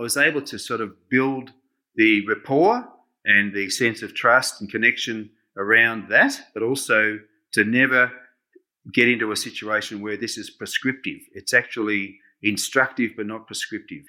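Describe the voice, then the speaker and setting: On a very clean recording with a silent background, the speaker talks in an Australian accent at a moderate pace, with a bright, sharp tone, fairly even intonation and big swings in loudness. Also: man, medium pitch for a man. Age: 60s. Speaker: social worker and community campaign organiser. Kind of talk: interview.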